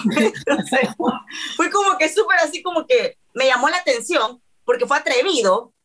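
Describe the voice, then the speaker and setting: A woman with a high pitch speaks at a moderate pace in an animated tone. Her pitch swings very widely while her loudness stays very even. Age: 30s. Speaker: reality TV personality. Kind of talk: casual chat.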